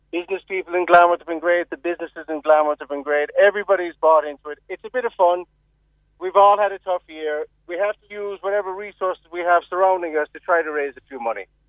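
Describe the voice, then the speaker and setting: A man's very fast, high-pitched delivery in a Cork accent, with ordinary pitch variation and big swings in loudness. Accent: Cork Irish. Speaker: school board member. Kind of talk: radio interview. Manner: animated.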